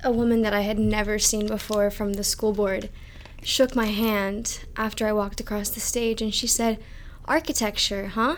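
An unremarkable speaking voice from a woman, fairly high in pitch, at a moderate pace with fairly even intonation. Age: young. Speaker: architecture student. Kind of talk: casual chat.

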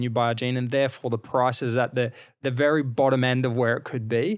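A man with an Australian accent talks at a medium pitch with fairly even intonation. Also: very clean recording, silent background. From Queensland, Australia (rural). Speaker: fashion brand founder and CEO. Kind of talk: interview. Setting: hotel suite.

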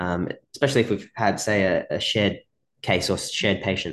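Against a quiet background, a man talks in an Australian accent. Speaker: podcast host and physiotherapy mentor. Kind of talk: casual interview chat. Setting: video call.

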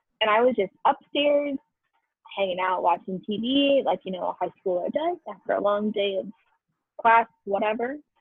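With a plain, everyday voice, a woman speaks at a fairly high pitch and a moderate pace, her intonation lively. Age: 20s. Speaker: retail store manager. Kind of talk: casual storytelling chat.

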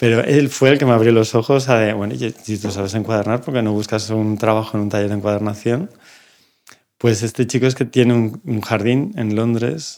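At a moderate pace, a man with medium pitch speaks in an ordinary speaking voice with fairly even intonation. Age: 50s. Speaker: bookbinder. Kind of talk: casual chat. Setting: studio.

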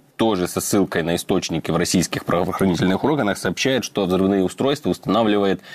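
A man speaks with a very deep, low pitch. His pitch variation is ordinary. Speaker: radio presenter. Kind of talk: news reading with map commentary.

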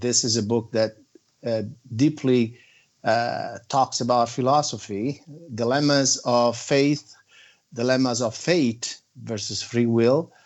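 A man speaks with a non-native accent at a medium pitch. His pace is fairly slow. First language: not English. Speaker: author. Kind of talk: interview. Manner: halting, frequent fillers.

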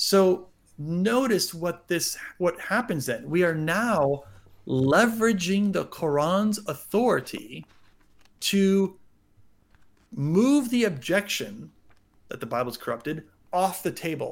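Here a man with an American accent talks at a high pitch with lively intonation. His pace is very slow, with long, frequent pauses. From United States. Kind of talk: interview on religion.

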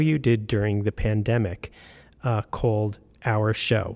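A man talks at a fairly slow pace in a normal speaking voice of medium pitch. The sound is dry and close, with no echo. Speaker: radio interviewer host. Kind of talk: interview, scripted intro.

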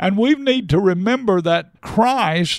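A man's voice with lively intonation in a very clean recording, silent background. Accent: American. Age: 80s+. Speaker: pastor. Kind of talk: interview, preaching style.

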